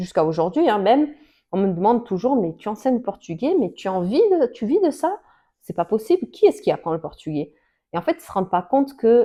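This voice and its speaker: A woman talks at a fairly quick pace with a fairly high pitch. Her voice has very wide pitch swings. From Portugal, moved to France at age ten. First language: Portuguese (speaking French). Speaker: Portuguese language teacher. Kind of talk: casual personal account to camera. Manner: hesitant, many fillers and restarts.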